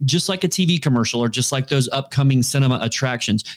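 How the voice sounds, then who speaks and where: This man's pitch is fairly high and varies in an ordinary way. He uses a normal speaking voice. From Florida. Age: 40s. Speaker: digital media marketer. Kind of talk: casual interview.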